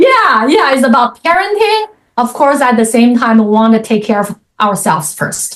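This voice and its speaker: Here a woman speaks in a Chinese accent at a high pitch and a moderate pace. Her pitch swings very widely while her loudness stays very even. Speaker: author and coach. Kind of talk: interview.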